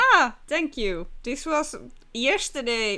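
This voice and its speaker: A woman with a Finnish accent speaks at a fairly high pitch with a bright, sharp tone. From Finland. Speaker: streamer. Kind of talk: casual chat. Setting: live stream.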